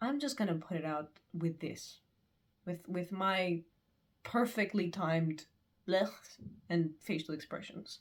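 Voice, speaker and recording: A woman with a fairly low pitch speaks at a fairly slow pace, with ordinary pitch variation and long, frequent pauses. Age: 20s. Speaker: student. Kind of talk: casual talk to camera.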